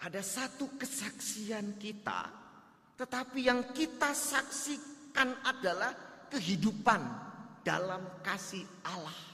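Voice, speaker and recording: Speaking with a Javanese accent over noticeable background noise, a man uses a raised, projected voice at an extremely high pitch, with ordinary pitch variation and a very slow pace. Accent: Javanese accent coming through. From Java, Indonesia. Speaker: pastor. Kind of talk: sermon. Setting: church.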